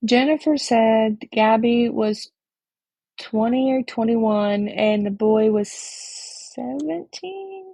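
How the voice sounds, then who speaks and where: Lively in intonation yet very slow in pace, a woman speaks at a fairly high pitch with a dark, mellow tone and a somewhat breathy quality. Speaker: livestreamer discussing online drama. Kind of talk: casual livestream talk. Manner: halting.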